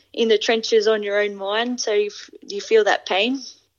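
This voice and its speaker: A woman speaks with an Australian accent. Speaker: rugby player. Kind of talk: interview. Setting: remote call.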